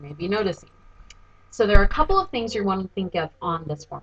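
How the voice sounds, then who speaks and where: A woman at a medium pitch, with lively intonation and a very fast pace. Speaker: voice teacher. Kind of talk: tutorial. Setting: home recording, seated. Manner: loud.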